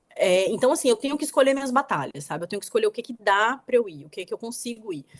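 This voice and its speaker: A woman talks in a normal speaking voice with a fairly high pitch. The sound is dry and close, with no echo. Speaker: author. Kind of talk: interview conversation.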